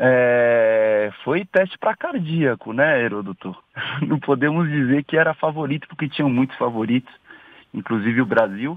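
A man speaks with lively intonation in an unremarkable speaking voice. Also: medium pitch for a man, moderate pace. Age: 20s. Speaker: sales executive, football commentator guest. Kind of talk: radio interview.

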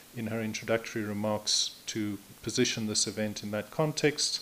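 The man speaks at a moderate pace with fairly even intonation. Light background noise is audible. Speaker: event moderator. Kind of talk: program overview at a seminar. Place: hall. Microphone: podium.

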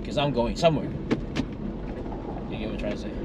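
A man speaks over loud background noise. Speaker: pastor. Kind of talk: casual conversation, giving advice. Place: car. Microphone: phone near.

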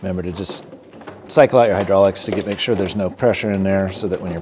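Against noticeable background noise, a man with a very deep, low pitch talks at a fairly quick pace in fairly even intonation. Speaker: DIY tractor owner. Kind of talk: tutorial. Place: garage. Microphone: phone near.

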